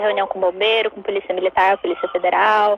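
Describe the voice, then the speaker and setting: A woman talks against noticeable background noise. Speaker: zero-waste researcher and chocolate maker. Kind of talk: casual interview chat. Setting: online live stream.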